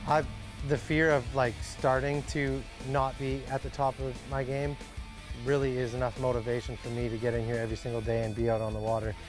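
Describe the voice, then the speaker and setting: A man speaks at a fairly quick pace. Clear music plays in the background, and the sound is dry with no echo. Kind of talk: interview answer. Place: hall.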